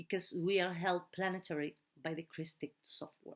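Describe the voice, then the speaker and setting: A woman at a medium pitch with a non-native accent, moderate pace, and a very clean recording with a silent background. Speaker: translator of spiritual teachings. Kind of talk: translated talk reading; casual sign-off. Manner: halting.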